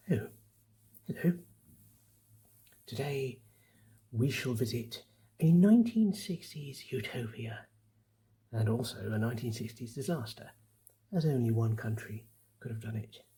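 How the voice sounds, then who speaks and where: Soft-spoken and somewhat breathy, a man with a gentle, dark, mellow tone talks at a fairly slow pace and medium pitch, with ordinary pitch variation and long, frequent pauses. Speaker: quiz host. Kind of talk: ASMR quiz narration. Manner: soft-spoken, gentle, conversational.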